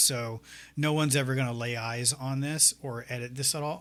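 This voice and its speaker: A man with an American accent, a bright, sharp tone, medium pitch, moderate pace and fairly even intonation on a very clean recording with a silent background. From US South, north Florida. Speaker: 3D artist and teacher. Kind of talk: tutorial. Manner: soft-spoken, not loud; hesitant, many fillers.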